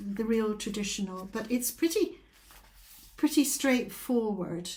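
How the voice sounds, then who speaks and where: A somewhat breathy, dark, mellow tone with a Scottish accent and lively intonation. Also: woman. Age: 70s. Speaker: craft vlogger. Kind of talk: casual chat. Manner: hesitant, many fillers.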